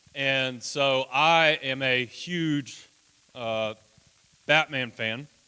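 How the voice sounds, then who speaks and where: A loud man at medium pitch with a bright, sharp tone, a very slow pace and long, frequent pauses. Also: fairly even intonation. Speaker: children's ranch houseparent. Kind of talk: presentation to congregation. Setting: church.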